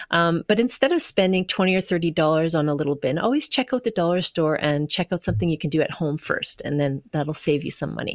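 Very fast and with lively intonation, a woman with a Canadian accent speaks in a fairly low voice, in a very clean, dry, close recording with no echo and a silent background. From Canada, Winnipeg. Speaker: firefighter and art quilter. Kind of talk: interview.

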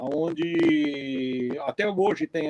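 A man with a fairly high pitch speaks using lively intonation. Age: 60s. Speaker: mule breeder and horseman. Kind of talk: casual interview on a live stream.

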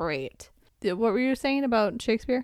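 In a very clean recording with a silent background, a woman mumbles at a fairly quick pace, her fairly high voice carrying lively intonation. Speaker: podcast co-host. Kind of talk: casual chat. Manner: mumbling.

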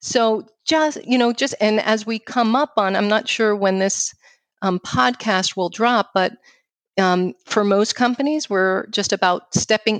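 In a New York accent, a woman speaks at a fairly high pitch and a fairly slow pace, with a dry, close sound with no echo against a quiet background. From New York City. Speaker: financial firm founder and speaker. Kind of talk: casual interview conversation.

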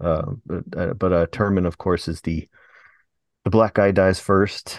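A man's voice sits very deep and low at a moderate pace. The sound is dry and close with no echo, and the background is quiet. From United States. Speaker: podcast co-host. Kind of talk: casual chat.

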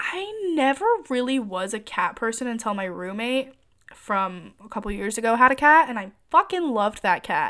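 In a very clean recording with a silent background, a woman with an American accent speaks at a fairly high pitch in a bright, sharp, animated tone. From Michigan. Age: 20s. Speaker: podcaster. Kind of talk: casual monologue.

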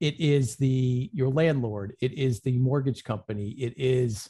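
A man speaks at a fairly slow pace with medium pitch and ordinary pitch variation. His tone is dark, mellow and somewhat breathy, with a quiet background. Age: 50s. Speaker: insurance agent. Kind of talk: interview.

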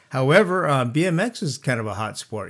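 The speaker has a Californian accent and lively intonation. The recording is very clean, with a silent background. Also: man. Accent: Californian American. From California, Santa Barbara. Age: 60s. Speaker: former mayor. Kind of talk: interview.

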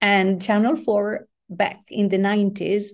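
A woman's medium-pitched, dark, mellow voice with a non-native accent, over a quiet background. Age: 60s. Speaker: former international organization executive. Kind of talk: interview.

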